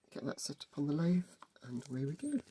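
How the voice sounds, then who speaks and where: Dark, mellow tone and some breathiness in a man's voice. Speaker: model railway hobbyist. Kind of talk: casual workshop tutorial talk.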